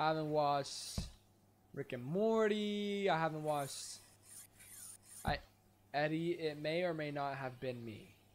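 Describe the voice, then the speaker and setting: The speech moves at a fairly slow pace with long, frequent pauses and ordinary pitch variation, over light background noise. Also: man, fairly high pitch for a man. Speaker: streamer. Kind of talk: casual live stream chat. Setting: live stream. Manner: animated, chatty. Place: home room.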